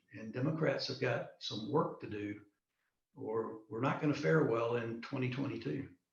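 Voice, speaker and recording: At a moderate pace, a man speaks in a space with audible room echo. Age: 60s. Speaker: political candidate and retired military officer. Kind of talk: online interview. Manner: hesitant, many fillers and repetitions.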